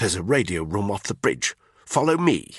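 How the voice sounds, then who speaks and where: The sound is dry and close with no echo as a man does a put-on, growling character voice, fairly low in pitch and with very wide pitch swings. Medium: read story. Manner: terse, stern.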